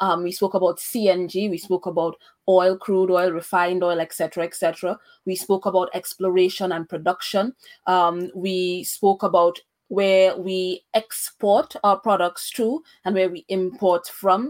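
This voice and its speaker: In a dry, close sound with no echo, a normal speaking voice moves at a fairly slow pace with fairly even intonation. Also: woman, medium pitch for a woman. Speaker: podcast host. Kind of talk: interview on a podcast. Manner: fluent, with frequent fillers.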